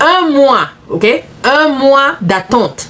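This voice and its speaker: A woman with lively intonation against noticeable background noise. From Central Africa, neighbouring Gabon. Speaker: business coach. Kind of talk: live stream talk to viewers. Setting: live stream. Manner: repetitive, code-switching French and English.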